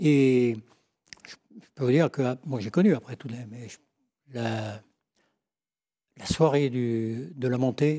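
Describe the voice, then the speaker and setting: A man at a medium pitch with ordinary pitch variation, very slow pace, long, frequent pauses and big swings in loudness. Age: old. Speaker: former football coach. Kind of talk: TV talk show chat.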